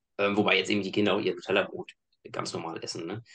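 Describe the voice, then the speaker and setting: At a fairly quick pace, a man with a fairly low voice speaks in a fairly even intonation. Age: 30s. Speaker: engineer and fitness coach. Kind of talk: casual chat.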